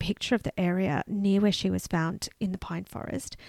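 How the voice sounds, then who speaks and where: A medium-pitched woman with an Australian accent, dark and mellow in tone, at a fairly quick pace, in a very clean, dry, close recording with a silent background and no echo. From Canberra, Australia. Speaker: podcast co-host. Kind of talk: true crime storytelling; casual chat.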